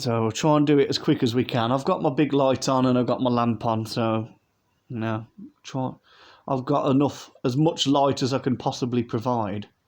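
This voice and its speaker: Speaking in a British accent, a man uses medium pitch and fairly even intonation at a moderate pace. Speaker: model aircraft collector, YouTuber. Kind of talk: unboxing review. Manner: casual, hesitant.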